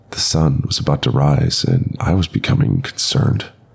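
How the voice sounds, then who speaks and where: A man speaks in a very deep, low voice with a dramatic tone and very wide pitch swings. Noticeable background noise runs behind him. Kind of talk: ghost story telling, first-person horror narration. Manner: dramatic, tense, building dread.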